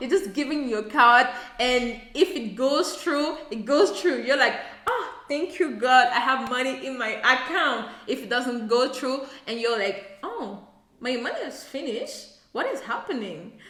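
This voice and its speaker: With a French accent, a woman speaks at a high pitch in an animated tone, her intonation lively and her loudness swinging widely, amid audible room echo and noticeable background noise. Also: fairly slow pace. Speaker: YouTuber. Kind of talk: casual vlog talk to camera. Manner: halting, searching for words.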